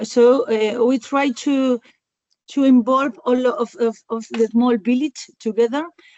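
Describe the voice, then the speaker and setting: A woman with a Spanish accent speaks in a high voice. Her pace is fairly slow. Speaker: rural community worker. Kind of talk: webinar panel answer. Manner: halting.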